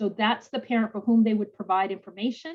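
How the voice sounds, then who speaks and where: The woman's voice is fairly high and somewhat breathy. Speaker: financial aid presenter. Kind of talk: webinar presentation. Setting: video call. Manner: fast.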